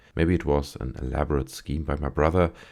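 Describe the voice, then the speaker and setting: Soft-spoken and calm in tone, a man speaks at a moderate pace with a dark, mellow tone, vocal fry and ordinary pitch variation, in a very clean recording with a silent background. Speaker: story narrator. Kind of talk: sleep story. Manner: soft-spoken, calm.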